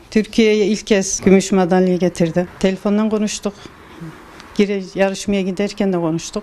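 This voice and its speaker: A woman's monotone, flat intonation at a moderate pace. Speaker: athlete's family member. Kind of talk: interview answer. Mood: proud, happy. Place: home room. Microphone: handheld.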